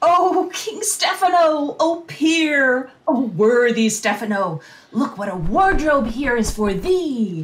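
In a high, put-on character voice, the speaker goes at a fairly slow pace with hardly any pauses and very wide pitch swings. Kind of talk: Shakespearean comic acting. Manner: silly, excitable.

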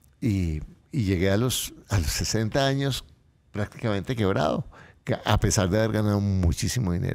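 A man speaks at a moderate pace, his fairly low pitch moving with ordinary variation. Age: 60s. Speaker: motivational speaker and author; financial coach guest. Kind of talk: interview. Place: studio. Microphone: studio mic.

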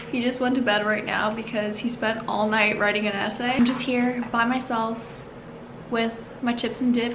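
A woman speaks at a moderate pace in a monotone, flat intonation. Background noise is noticeable. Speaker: vlogger. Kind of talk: casual vlog chat.

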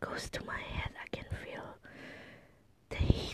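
The speaker, a woman, whispers. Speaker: ASMR vlogger. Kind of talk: ASMR talk to camera. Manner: soft-spoken. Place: home room. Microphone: phone near.

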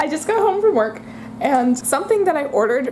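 This woman speaks at a very fast pace. Light noise runs in the background. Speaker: vlogger. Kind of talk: casual vlog chat. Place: home room. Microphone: phone near.

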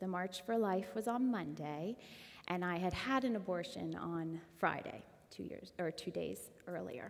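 Fairly slow speech from a woman, fairly low in pitch, with ordinary pitch variation. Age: 30s. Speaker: church member sharing testimony; guest. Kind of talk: testimony. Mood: earnest, emotional personal testimony. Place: church. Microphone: headset.

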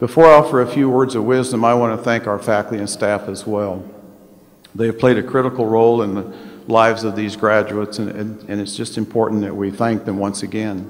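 Fairly quick speech from a man pitched fairly low. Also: fairly even intonation. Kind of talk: ceremonial speech. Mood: warm, lightly humorous. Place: hall. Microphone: podium.

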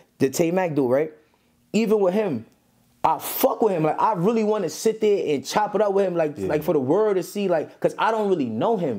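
In a New York accent, a man with a high pitch and a dark, mellow tone talks at a fairly quick pace with lively intonation. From Brooklyn, New York. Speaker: rapper. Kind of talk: casual interview.

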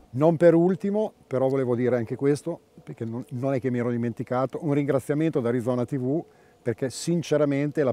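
Recorded with a dry sound and no echo, a man speaks in a dark, mellow tone with ordinary pitch variation. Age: 60s. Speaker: veteran angler and team manager. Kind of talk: emotional interview. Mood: emotional, grateful. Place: waterside. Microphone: lapel.

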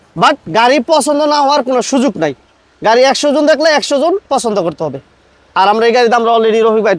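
This man's voice sits at an extremely high pitch and carries lively intonation. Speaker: used car dealer vlogger. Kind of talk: car sales video.

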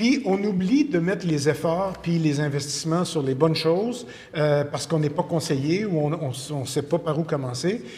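This man has a Quebec accent and a fairly high pitch. He talks at a moderate pace with ordinary pitch variation. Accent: Québécois French. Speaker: video production expert; interview guest. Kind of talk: casual chat. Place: studio.

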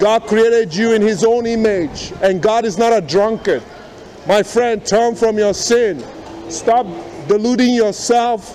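A man with a high-pitched voice speaks at a fairly slow pace, his loudness very even. His pitch varies in an ordinary way, with music playing in the background. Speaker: street preacher. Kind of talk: street preaching, confrontational. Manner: insistent, repeating. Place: station.

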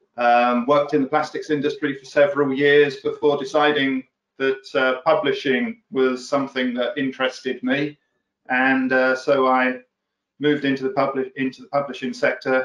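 The man speaks at a moderate pace in a monotone, flat intonation. Audible room echo sits over a quiet background. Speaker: guest. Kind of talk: interview answer. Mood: relaxed, friendly. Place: office. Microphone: video call.

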